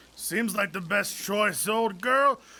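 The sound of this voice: Here is a put-on character voice with vocal fry and a bright, sharp tone. It moves slowly, with lively intonation. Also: man, high pitch for a man.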